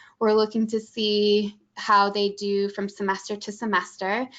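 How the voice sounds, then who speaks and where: Speaking with a Midwestern accent, a woman holds a medium pitch in a monotone, flat intonation. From Michigan, US Midwest. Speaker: college admissions staff. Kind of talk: webinar presentation. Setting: online webinar.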